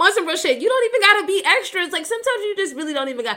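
A woman's raised, projected voice, bright and sharp in tone, with an animated delivery. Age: 20s. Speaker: podcast host. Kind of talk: casual talk show.

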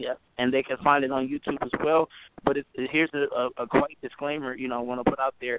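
Monotone, flat delivery at a fairly quick pace. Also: man. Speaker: gospel musician. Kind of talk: radio interview. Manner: soft-spoken.

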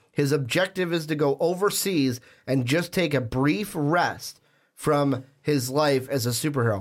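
On a very clean recording with a silent background, a man with a fairly high pitch and a normal speaking voice keeps very even loudness and ordinary pitch variation. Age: 20s. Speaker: podcast host. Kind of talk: casual chat; scripted outro.

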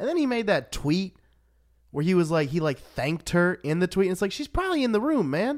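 The recording is very clean, with a silent background. A man with a high pitch speaks at a fairly quick pace, his pitch swinging very widely. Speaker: podcast host and comedian. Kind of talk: casual chat.

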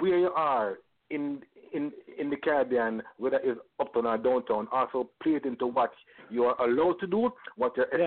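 A fairly high-pitched man with a Jamaican accent. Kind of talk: casual chat. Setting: studio.

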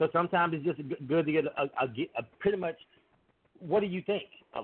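An unremarkable speaking voice from a man, fairly high in pitch, fairly quick, with ordinary pitch variation. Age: 40s. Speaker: podcast guest. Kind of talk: casual chat.

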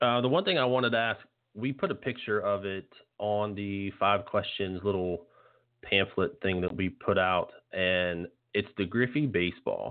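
A man with an American accent and an unremarkable speaking voice, fairly low in pitch, with ordinary pitch variation, at a moderate pace. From West Virginia, Morgantown. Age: 30s. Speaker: podcast host. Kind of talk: casual interview.

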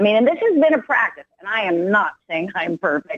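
A woman with a medium pitch and an ordinary speaking voice talks at a fairly quick pace with lively intonation. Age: 50s. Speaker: motivational speaker and business coach. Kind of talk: interview.

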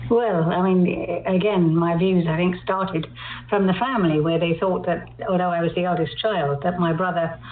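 In a southern English accent, a woman speaks fairly quickly at a fairly low pitch with fairly even intonation, amid audible room echo and noticeable background noise. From London. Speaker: poet. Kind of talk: interview.

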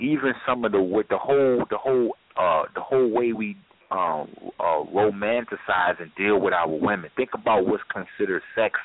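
A man talks at a moderate pace in a fairly low pitch with ordinary pitch variation, and noticeable background noise can be heard. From New York, the Bronx. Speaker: health educator, podcast guest. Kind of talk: casual talk radio discussion.

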